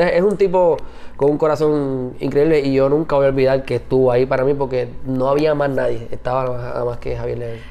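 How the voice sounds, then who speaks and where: The voice has a dark, mellow tone, a fairly quick pace and fairly even intonation. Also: man, medium pitch for a man. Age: 30s. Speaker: podcast co-host, father. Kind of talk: casual chat.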